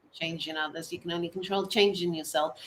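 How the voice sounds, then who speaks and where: A woman at a medium pitch talks while noticeable background noise carries on. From Portuguese island (Azores or Madeira). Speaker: winery manager. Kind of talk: interview. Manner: halting, many fillers.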